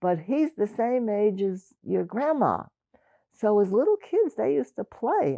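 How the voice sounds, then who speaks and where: The sound is dry and close, with no echo. A woman with a New York accent speaks at a moderate pace. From Brooklyn, New York. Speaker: oral history interviewee. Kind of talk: oral history interview. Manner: halting, many restarts.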